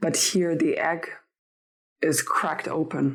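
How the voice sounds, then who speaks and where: Her accent is non-native. The speaker is a woman. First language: not English. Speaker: tarot reader. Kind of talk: tarot reading. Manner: halting.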